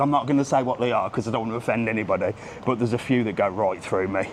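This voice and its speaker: Over noticeable background noise, a man with a strong Brummie accent speaks at medium pitch with ordinary pitch variation. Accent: Brummie, thick. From England, Birmingham. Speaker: travel vlogger. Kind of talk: live walking vlog. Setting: outdoors, walking the streets. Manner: casual, chatty.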